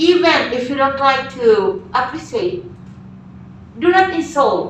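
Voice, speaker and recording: Amid noticeable background noise and audible room echo, a woman speaks at a very slow pace and high pitch, her pitch swinging very widely. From Philippines. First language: Filipino. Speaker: teacher. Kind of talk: lecture.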